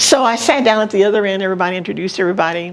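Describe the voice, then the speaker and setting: Talking at a very fast pace, a woman with an American accent has a medium pitch and ordinary pitch variation. Noticeable background noise is present. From San Antonio, Texas. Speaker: senior living resident. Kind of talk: life story interview. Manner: upbeat, cheerful.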